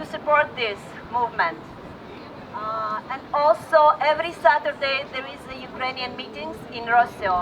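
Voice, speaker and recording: A high-pitched woman with a Russian accent and lively intonation at a fairly slow pace, amid noticeable background noise. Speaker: rally speaker. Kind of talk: public speech. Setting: outdoor rally. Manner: halting.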